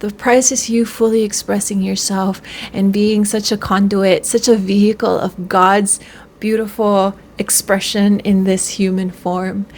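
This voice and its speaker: A woman at a medium pitch speaks with monotone, flat intonation over noticeable background noise. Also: fairly slow pace. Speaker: spiritual self-help vlogger. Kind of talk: casual monologue to camera. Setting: at home on camera, in pajamas. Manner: halting, many fillers.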